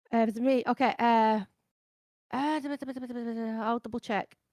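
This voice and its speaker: A woman with a Scottish accent speaks at a fairly high pitch and moderate pace, her tone dark and mellow. Her intonation stays fairly even, and the sound is dry and close with no echo. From Scotland. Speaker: variety streamer and composer. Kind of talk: panel discussion. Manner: quiet.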